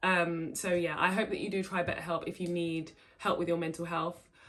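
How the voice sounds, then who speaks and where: Fairly low-pitched woman with an English accent and monotone, flat intonation. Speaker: vlogger. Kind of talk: casual vlog talk. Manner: stumbling over words.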